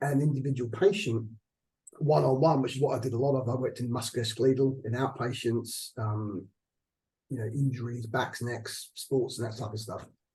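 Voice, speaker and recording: A man with an Australian accent talks at a fairly quick pace in a medium pitch, his dark, mellow tone somewhat breathy and his pitch varying in an ordinary way. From Australia, Adelaide. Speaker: hospital chief executive. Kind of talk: interview. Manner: halting.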